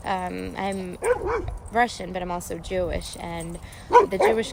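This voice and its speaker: Fairly slow female speech amid audible room echo and noticeable background noise. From Russia, immigrated as refugee child. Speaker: recovery fitness nonprofit co-founder. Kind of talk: live-stream reflective talk. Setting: outdoors at a softball field, Facebook live. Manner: hesitant, many fillers.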